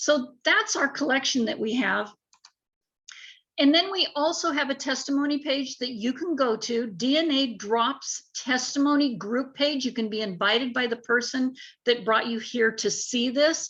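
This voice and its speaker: Speaking at a moderate pace, a woman uses a high voice with ordinary pitch variation. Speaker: network marketing sales rep. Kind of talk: sales pitch.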